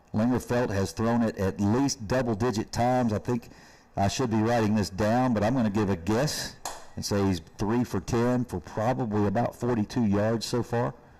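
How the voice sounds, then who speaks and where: A man with a Kentucky accent, medium pitch and a dark, mellow tone, at a moderate pace with ordinary pitch variation and very even loudness. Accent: Kentucky Southern US. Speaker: high school football commentator. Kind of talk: live commentary.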